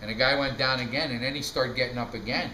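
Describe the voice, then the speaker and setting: A man with a medium pitch talks at a fairly quick pace. Audible room echo and noticeable background noise fill the recording. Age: 60s. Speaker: family storyteller. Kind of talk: casual storytelling.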